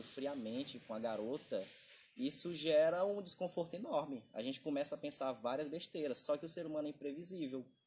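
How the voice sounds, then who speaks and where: A man in a normal speaking voice keeps a moderate pace, his fairly high pitch showing ordinary variation. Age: 20s. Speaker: podcast co-host. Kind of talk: casual chat.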